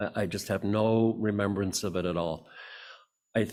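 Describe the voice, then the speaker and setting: In a very clean recording with a silent background, a man with an Upper Midwest accent talks at a moderate pace, his fairly low pitch held in fairly even intonation. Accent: Upper Midwest American. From Michigan, Muskegon. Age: 80s+. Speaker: church member speaker. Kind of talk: personal reflection talk at church service. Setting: church service podium. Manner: halting.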